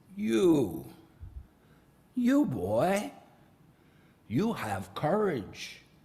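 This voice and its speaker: In a put-on character voice with audible echo, a man swings his pitch very widely. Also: fairly high pitch for a man. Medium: read story. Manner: halting, stammering.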